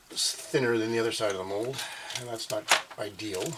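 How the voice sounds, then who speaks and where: Noticeable background noise is present. Over it, the words come at a fairly quick pace. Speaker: maker channel host. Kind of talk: tutorial. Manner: soft-spoken.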